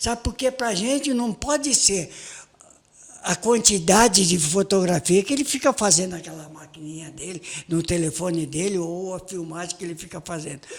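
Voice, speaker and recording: Animated in tone, a high-pitched man talks at a moderate pace with lively intonation and big swings in loudness. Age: 70s. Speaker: photojournalist. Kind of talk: casual interview chat.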